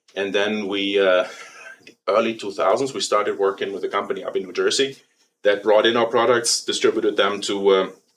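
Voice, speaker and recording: His pace is fairly quick. The man speaks in a German accent. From Germany. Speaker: company president. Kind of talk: interview. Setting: studio. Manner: hesitant, many fillers.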